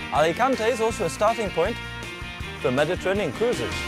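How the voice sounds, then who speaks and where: Over music in the background, a man with a high pitch speaks at a very fast pace with lively intonation. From British. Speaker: TV presenter. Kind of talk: travel show presenting.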